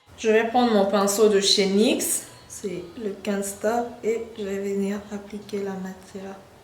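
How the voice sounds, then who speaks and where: A woman with a medium-pitched voice speaks fairly slowly in a flat monotone. Noticeable background noise runs behind her. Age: 20s. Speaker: beauty YouTuber. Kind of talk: makeup tutorial talk to camera.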